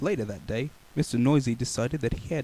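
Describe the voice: Pitch moves in an ordinary way. The delivery is plain reading aloud.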